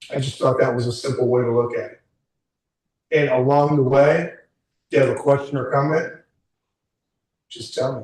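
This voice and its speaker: The delivery is somewhat breathy and monotone, with flat intonation at a moderate pace. Loudness swings a lot, with long, frequent pauses. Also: man, fairly high pitch for a man. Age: 60s. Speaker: career coach. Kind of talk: workshop talk to a small group. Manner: informal.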